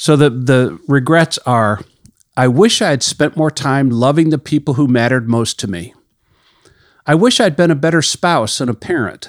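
In a very clean recording with a silent background, a man talks at a moderate pace in a fairly high pitch with lively intonation, a plain, everyday voice heard dry and close with no echo. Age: 60s. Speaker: ministry leader and podcast host. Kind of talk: devotional teaching monologue. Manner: conversational.

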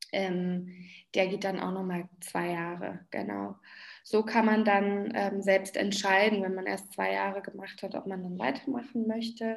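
A woman uses a normal speaking voice at medium pitch. She talks at a fairly slow pace with fairly even intonation. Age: 30s. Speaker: dance therapist. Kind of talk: interview.

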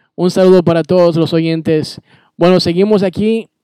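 A man's high-pitched voice, dark and mellow in tone, stays monotone and flat at a fairly slow pace, with a dry, close sound and no echo. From Bolivia. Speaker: radio DJ. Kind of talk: radio show hosting with interview.

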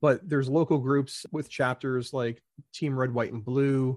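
A man speaks in an American accent at a medium pitch. The background is quiet. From New Jersey. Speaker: Navy veteran. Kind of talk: interview.

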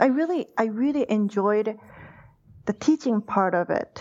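Speaking at a very slow pace with lively intonation, a woman with a Japanese accent uses a fairly high pitch. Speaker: university lecturer. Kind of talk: interview.

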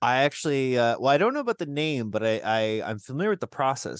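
A man with a Canadian accent at a very fast pace. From Southern Ontario, Canada (Burlington). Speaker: community radio co-host. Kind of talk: casual chat. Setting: radio studio.

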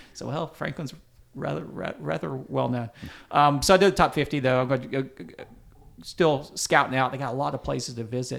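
On a very clean recording with a silent background, a man with an American accent speaks at a fairly quick pace and medium pitch, showing vocal fry and lively intonation. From US South, upstate South Carolina. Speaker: barbecue writer and culinary historian. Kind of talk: casual interview. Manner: halting.

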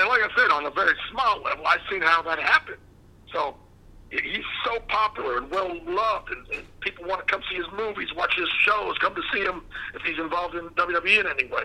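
A man with an American accent at a fairly quick pace, noticeable background noise behind him. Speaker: former wrestling manager. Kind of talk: interview.

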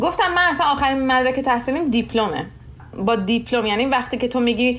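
A woman talks at a very fast pace in a high pitch with ordinary pitch variation. There is audible room echo and noticeable background noise. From Iran, Shiraz. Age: 20s. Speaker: nurse. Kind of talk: interview.

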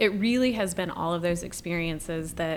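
Speaking with a North Carolina accent, a woman uses a fairly low pitch. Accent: Southern US, North Carolina. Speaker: state senator. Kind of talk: casual chat.

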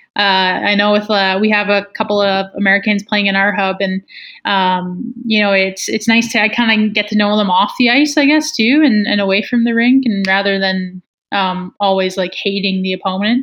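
At a moderate pace and very even loudness, a woman with a Canadian Prairies accent speaks at medium pitch with fairly even intonation. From northern Manitoba, Canada (small Métis community). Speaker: professional hockey player. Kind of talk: casual interview.

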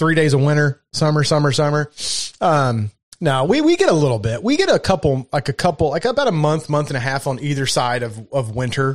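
Against a quiet background, a man with a Southern US accent speaks at a fairly quick pace with ordinary pitch variation, the sound dry and close with no echo. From Kentucky. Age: 40s. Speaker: podcast host. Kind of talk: casual chat.

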